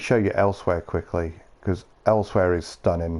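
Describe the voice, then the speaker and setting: In a Yorkshire accent, a man speaks with a dark, mellow tone. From Yorkshire, northern England. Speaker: gaming streamer. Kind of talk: casual chat. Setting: live stream.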